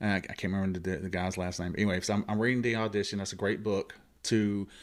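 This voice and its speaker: A man with an American accent talks at a very fast pace in a flat, monotone delivery, recorded very cleanly against a silent background. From US South, Columbus Georgia. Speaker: actor and radio host. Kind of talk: casual chat.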